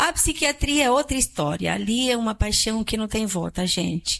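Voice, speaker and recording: On a very clean recording with a silent background, a woman speaks at a moderate pace with a fairly high pitch. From Chile. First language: Spanish (speaking Portuguese). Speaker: psychiatrist. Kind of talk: public talk.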